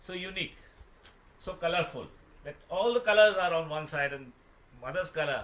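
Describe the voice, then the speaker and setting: A man with an Indian accent, lively intonation and a fairly quick pace. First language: Hindi. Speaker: devotional speaker explaining a song. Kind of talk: explaining and translating song lyrics. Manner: halting.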